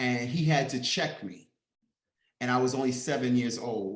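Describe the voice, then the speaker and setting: A man with a New York accent talks at a medium pitch. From US Northeast, Harlem, New York. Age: 50s. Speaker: interviewee. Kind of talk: interview.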